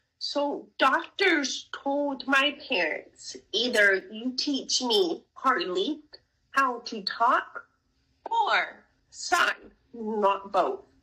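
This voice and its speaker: Using a raised, projected voice with a bright, sharp tone, a woman speaks at a high pitch and a very slow pace with very wide pitch swings. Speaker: deaf author and podcast guest. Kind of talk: interview conversation.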